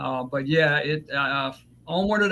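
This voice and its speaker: Against noticeable background noise, a man with a Southern US accent speaks at a fairly high pitch with ordinary pitch variation. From US South, South Georgia. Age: 40s. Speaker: fiber optics instructor. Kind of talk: podcast interview. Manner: halting, many fillers.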